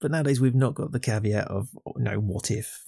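A man with a dark, mellow tone and vocal fry, talking at a very fast pace with ordinary pitch variation, in a dry, close recording with no echo that is very clean over a silent background. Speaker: podcaster. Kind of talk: casual banter.

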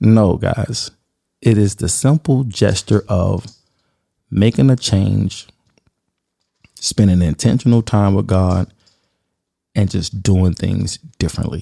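With a dark, mellow tone and a fairly low pitch, a man talks at a very slow pace with ordinary pitch variation and long, frequent pauses, the sound dry and close with no echo. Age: 40s. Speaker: podcast host and photographer. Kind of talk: personal monologue. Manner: animated.

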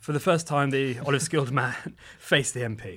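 Intonation stays fairly even throughout. The reading voice is unforced.

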